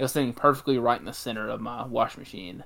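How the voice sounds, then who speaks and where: A man speaks with a Mississippi accent. His pace is very fast and his pitch is medium. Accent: Southern US (Mississippi). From Mississippi, US South. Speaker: podcast co-host. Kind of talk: casual chat.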